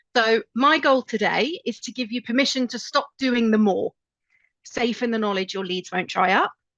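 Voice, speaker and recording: A woman with a British accent speaks at a moderate pace with a fairly high pitch and ordinary pitch variation. Her tone is bright and sharp, and the sound is dry and close with no echo. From UK. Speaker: marketing agency owner. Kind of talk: webinar presentation. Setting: online webinar. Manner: casual with fillers.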